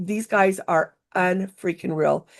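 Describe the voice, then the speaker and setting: Using vocal fry, a woman speaks in an animated tone at a medium pitch. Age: 60s. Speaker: workshop instructor for travel software. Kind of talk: tutorial.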